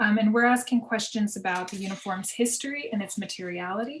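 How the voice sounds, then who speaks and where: Fairly quick, somewhat breathy speech with ordinary pitch variation. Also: woman. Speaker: fashion history professor. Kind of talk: conference panel presentation. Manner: fast.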